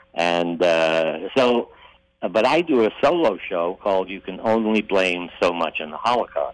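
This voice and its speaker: A man with an American accent and fairly low pitch talks at a fairly slow pace in an unremarkable speaking voice. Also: lively intonation. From Ohio, US Midwest (Toledo). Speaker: actor and comedian. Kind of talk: interview.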